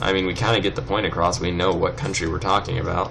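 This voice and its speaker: Noticeable background noise and audible room echo surround a man with a Californian accent and a very deep, low pitch. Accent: California. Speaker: let's play gamer. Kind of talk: gameplay commentary. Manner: casual, rambling with fillers.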